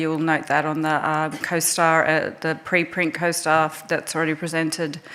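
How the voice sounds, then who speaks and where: A woman speaks with an Australian accent at a moderate pace and a fairly low pitch. Noticeable background noise runs behind her. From Australia (Melbourne). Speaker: resuscitation researcher, task force chair. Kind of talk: conference presentation. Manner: hesitant, many fillers.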